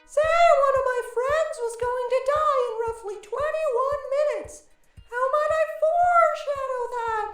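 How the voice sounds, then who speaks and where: Someone uses a put-on character voice at an extremely high pitch, talking at a moderate pace with a slight echo. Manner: dying, weak.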